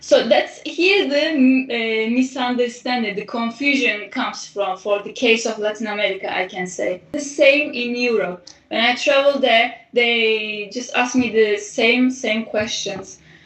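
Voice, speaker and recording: A woman's high-pitched voice at a fairly slow pace, with ordinary pitch variation, over noticeable background noise. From Turkey. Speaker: artist. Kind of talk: interview. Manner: halting.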